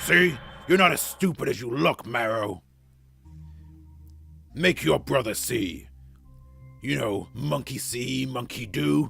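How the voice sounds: In a put-on character voice, a man speaks at a slow pace and medium pitch with vocal fry, a bright, sharp tone, lively intonation and long, frequent pauses, while faint music plays in the background.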